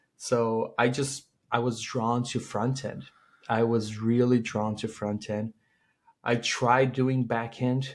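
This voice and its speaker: Against a quiet background, a man with a Portuguese accent speaks at medium pitch with fairly even intonation. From Brazil. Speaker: tech startup founder and CEO. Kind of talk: interview.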